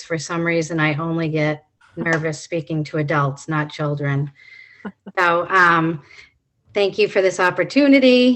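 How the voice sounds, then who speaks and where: A woman doing a put-on character voice, shaky and fairly low-pitched for a woman. She talks at a moderate pace with long, frequent pauses. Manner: nervous, shaky.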